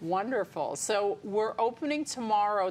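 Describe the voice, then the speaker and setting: A woman speaks in a plain, everyday voice with an American accent and medium pitch. Her pace is fairly slow. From New York suburbs, Westchester County. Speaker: botanical garden director. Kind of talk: interview.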